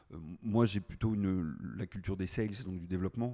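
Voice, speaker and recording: A dark, mellow tone with fairly even intonation. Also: man. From Brittany, France (Brest area). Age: 40s. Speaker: entrepreneur. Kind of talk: interview.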